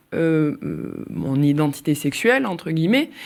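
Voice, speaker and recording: Very wide pitch swings run through a woman's speech at a very slow pace. The recording is very clean, with a silent background. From southern France, Nîmes.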